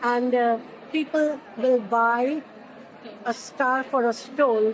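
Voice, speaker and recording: Noticeable background noise sits behind a woman's voice. She speaks with a high pitch and monotone, flat intonation. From India, Pune. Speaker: lymphedema therapist and research consultant. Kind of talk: interview.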